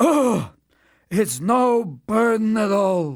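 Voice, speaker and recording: A man puts on a character voice pitched high. His intonation is lively. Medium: read story. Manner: weary, groaning.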